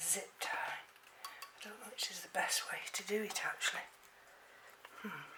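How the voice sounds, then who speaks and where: A woman with an English accent whispers at a fairly slow pace, with long, frequent pauses and big swings in loudness, amid noticeable background noise and audible room echo. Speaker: orchid hobbyist vlogger. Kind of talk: tutorial. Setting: at home. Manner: halting.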